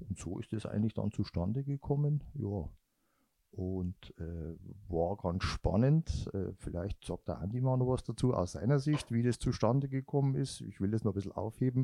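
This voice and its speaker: A man with a fairly low pitch, a dark, mellow tone and lively intonation, in a dry, close sound with no echo against a quiet background. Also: moderate pace. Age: 50s. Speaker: running guide for a blind runner. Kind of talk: interview. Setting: three people sharing one handheld mic.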